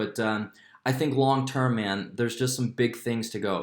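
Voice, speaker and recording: With an ordinary speaking voice, a man talks at a moderate pace and medium pitch, showing ordinary pitch variation. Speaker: crypto YouTuber. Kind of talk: casual market commentary vlog. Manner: casual, filler-heavy.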